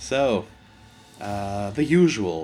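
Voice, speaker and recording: The speaker has a German accent and ordinary pitch variation. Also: man. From Germany. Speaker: gaming YouTuber. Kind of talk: let's play commentary. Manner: halting.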